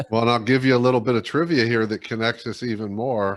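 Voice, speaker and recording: In a very clean recording with a silent background, a man with an American accent speaks at a fairly quick pace. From Ohio, near Dayton. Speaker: leadership coach and speaker. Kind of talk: casual interview chat.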